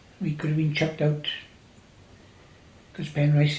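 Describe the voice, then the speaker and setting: A fairly high-pitched man with a south Wales accent, with audible room echo. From Wales, Gower. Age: 80s+. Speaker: farmer. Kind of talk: oral history interview.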